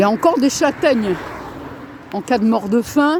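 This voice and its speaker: Noticeable background noise sits behind the voice. A woman speaks with lively intonation. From northern France. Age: 60s. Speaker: vlogger. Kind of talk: casual vlog monologue. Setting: outdoors on a walk. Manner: halting.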